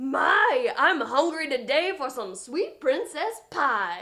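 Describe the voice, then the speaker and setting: In a put-on character voice, the speaker growls at a very slow pace with very wide pitch swings. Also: woman, high pitch for a woman. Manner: menacing, gloating.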